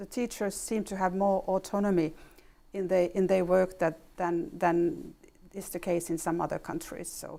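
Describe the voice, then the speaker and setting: A woman with a Finnish accent, a dark, mellow tone, a medium pitch, fairly even intonation, a moderate pace and big swings in loudness, on a very clean recording with a silent background. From Finland. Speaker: ambassador. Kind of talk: interview. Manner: halting.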